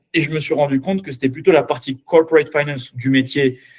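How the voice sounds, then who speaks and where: At a moderate pace, a man speaks with a fairly high pitch, a somewhat breathy quality and ordinary pitch variation. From France, Paris. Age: 20s. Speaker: finance professional. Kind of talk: mock job interview. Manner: halting, many filler sounds and repetitions.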